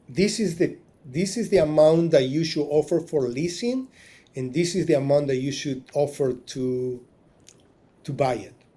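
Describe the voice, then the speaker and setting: Somewhat breathy and dark, mellow in tone, a man speaks at a fairly high pitch with ordinary pitch variation. He goes at a fairly slow pace in a very clean recording with a silent background. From Argentina, Tucumán. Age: 40s. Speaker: marina business owner. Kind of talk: interview storytelling. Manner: halting, many repetitions.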